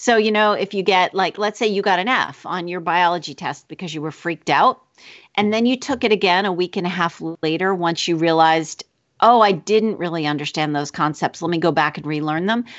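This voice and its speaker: A woman speaks at a fairly quick pace with a fairly low pitch. Her pitch varies in an ordinary way, and she has a plain, everyday voice. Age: 40s. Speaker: author and teacher. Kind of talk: casual interview.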